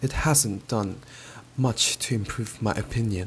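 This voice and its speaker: Speaking very slowly, a man with a medium pitch keeps a calm tone. His intonation stays fairly even. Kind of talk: audiobook-style storybook reading. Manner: soft, calm, ASMR-style.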